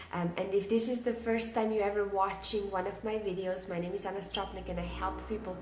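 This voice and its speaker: With noticeable background noise and audible room echo, a woman of medium pitch speaks at a moderate pace. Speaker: online business coach. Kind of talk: live stream talk to viewers. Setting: at home, live video. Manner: quiet, keeping voice down; many filler words, halting.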